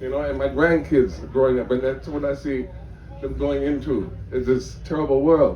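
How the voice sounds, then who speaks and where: Speaking at a moderate pace, a man is heard through audible room echo and noticeable background noise. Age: 60s. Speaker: audience member at press Q&A. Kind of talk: audience question and comment at press conference. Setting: festival press tent with audience.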